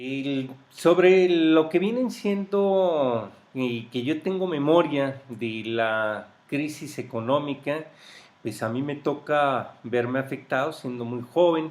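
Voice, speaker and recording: The speaker moves at a very slow pace. Their intonation stays lively throughout. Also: man, fairly high pitch for a man. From Mexico, grew up in Mexico City. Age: 50s. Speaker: interviewee recounting life history. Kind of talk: oral history interview. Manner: hesitant, with fillers.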